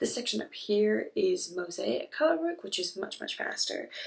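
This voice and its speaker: A woman speaks quietly at a moderate pace. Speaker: knitting vlogger. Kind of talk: casual chat. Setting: on vacation, indoors. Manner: quiet, hushed.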